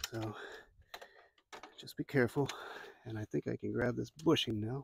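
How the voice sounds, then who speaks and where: A man with an American accent speaks in a somewhat breathy voice, leaving long, frequent pauses, recorded dry and close with no echo. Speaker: DIY car repair youtuber. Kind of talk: tutorial. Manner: casual, talking to himself while working.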